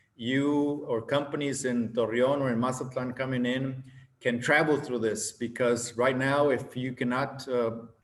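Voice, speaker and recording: A man talks at a moderate pace and medium pitch. His intonation is monotone and flat, and there is audible room echo. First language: Spanish. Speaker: government official. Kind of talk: conference presentation.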